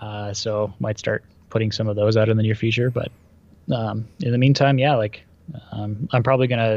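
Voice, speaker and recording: A man talks with a Canadian accent in a normal speaking voice at a medium pitch. His pace is moderate and his intonation fairly even. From born in Vladivostok, Russia; based in Calgary, Canada. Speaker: electronic music producer. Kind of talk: casual interview chat.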